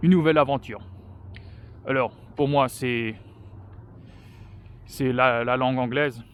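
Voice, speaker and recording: At a fairly slow pace, a man speaks with fairly even intonation and long, frequent pauses. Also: medium pitch for a man. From France. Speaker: vlogger. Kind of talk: casual personal vlog talk while walking. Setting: outdoors on a walk. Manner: halting, many hesitations.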